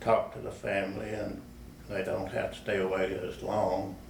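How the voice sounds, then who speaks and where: A man at a fairly slow pace, with noticeable background noise and audible room echo. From West Texas. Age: 80s+. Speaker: war veteran. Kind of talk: oral history interview. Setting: public library. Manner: halting.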